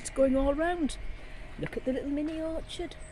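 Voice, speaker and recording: The pace is fairly quick. There is noticeable background noise. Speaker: home gardener vlogger. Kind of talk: casual garden tour vlog. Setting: outdoors. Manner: fast.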